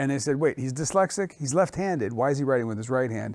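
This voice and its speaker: Very fast speech from a man comes with an American accent. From grew up moving between France, Italy and the US. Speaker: chef. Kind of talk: interview.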